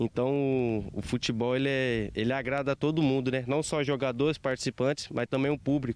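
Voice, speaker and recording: A man's monotone, flat delivery with hardly any pauses and very even loudness. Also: moderate pace, dry sound with no echo. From Brazil. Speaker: amateur football tournament organizer. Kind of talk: news interview. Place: open country. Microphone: handheld.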